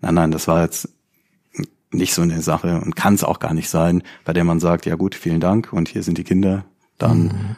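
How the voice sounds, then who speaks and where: Very deep and low, a man's voice keeps fairly even intonation and very even loudness at a moderate pace. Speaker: criminal defense lawyer and crime novelist. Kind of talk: interview conversation.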